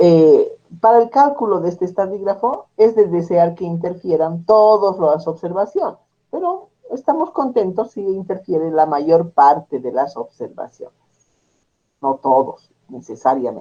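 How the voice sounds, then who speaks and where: Pitched high for a man, his voice has a dark, mellow tone. His intonation is lively. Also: fairly slow pace. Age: 60s. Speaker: statistics teacher. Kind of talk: lecture. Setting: class with students.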